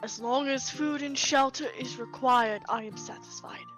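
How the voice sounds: Over clear music in the background, a woman does a gruff, put-on character voice at a fairly high pitch and a moderate pace.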